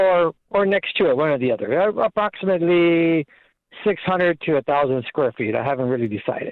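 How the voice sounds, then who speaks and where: Speaking at a fairly quick pace, a man uses a high voice with lively intonation. His loudness stays very even. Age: 60s. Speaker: caller. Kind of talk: call-in advice show. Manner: halting.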